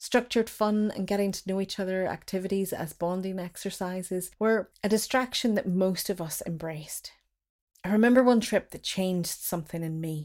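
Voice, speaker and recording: A woman with a Derry accent at a fairly quick pace, medium in pitch, with fairly even intonation, on a very clean recording with a silent background. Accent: Northern Irish (Derry). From Northern Ireland. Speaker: writer and performer. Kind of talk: reading own memoir piece.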